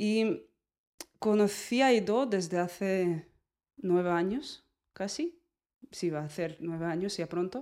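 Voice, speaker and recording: Speaking very slowly with long, frequent pauses, a woman with a Russian accent has a medium pitch, ordinary pitch variation and a dark, mellow tone. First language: Russian (speaking Spanish). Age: 30s. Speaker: movement teacher. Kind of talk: casual chat.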